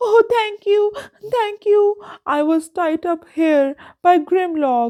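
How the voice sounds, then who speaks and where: A put-on character voice at an extremely high pitch speaks at a very slow pace. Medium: read story.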